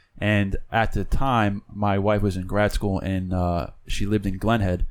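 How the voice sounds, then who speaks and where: Fairly low in pitch, a man talks with fairly even intonation in a plain, everyday voice. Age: 30s. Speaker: podcast host. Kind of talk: casual chat. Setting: studio.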